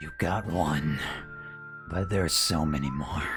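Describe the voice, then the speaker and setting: Over loud background music, a man uses a put-on character voice that is raspy and very deep, speaking at a fairly slow pace. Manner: menacing.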